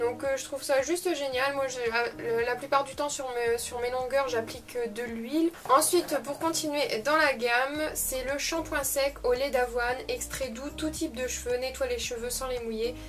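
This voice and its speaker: With a northern French accent, a woman speaks in a high pitch at a fairly slow pace, with hardly any pauses and fairly even intonation, against noticeable background noise. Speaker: beauty youtuber. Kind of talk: unboxing video. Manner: hesitant, many fillers.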